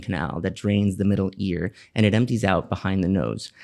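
This is a man with an American accent and a normal speaking voice. His pitch varies in an ordinary way. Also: very clean recording, silent background. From Miami, Florida. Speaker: pediatrician. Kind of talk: podcast interview.

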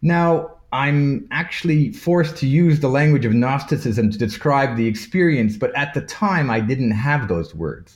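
A man with a fairly high, somewhat breathy voice speaks at a fairly slow pace with lively intonation and hardly any pauses. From Toronto, Canada, of Maltese parents. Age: 50s. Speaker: artist, author and lecturer on Gnosticism. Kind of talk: casual interview, explaining. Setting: video call from abroad, remote.

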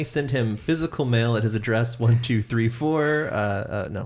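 A man with an American accent, an ordinary speaking voice, medium pitch, ordinary pitch variation and a moderate pace. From US Pacific Northwest (Seattle). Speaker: podcast host. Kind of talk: casual chat.

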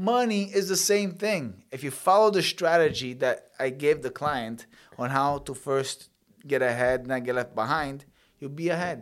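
An unremarkable speaking voice comes through with lively intonation at a moderate pace. The recording is very clean, with a silent background. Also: man, fairly high pitch for a man. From Sicily, Italy, then Canada from childhood. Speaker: mortgage agent and former pro boxer. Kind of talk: interview.

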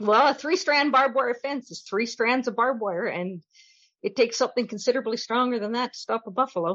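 A woman with a western Canadian accent is speaking. She talks at a very fast pace and a high pitch. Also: ordinary pitch variation. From Canada, northern Alberta. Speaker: romance novelist. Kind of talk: casual interview.

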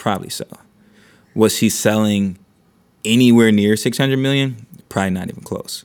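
Over a silent background in a very clean recording, a man talks at a fairly quick pace with fairly even intonation. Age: 30s. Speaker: venture investor and content creator. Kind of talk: casual chat. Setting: studio.

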